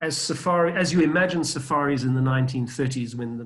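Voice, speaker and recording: With audible room echo, a man talks in a somewhat breathy voice. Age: 60s. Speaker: safari travel expert. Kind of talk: podcast interview.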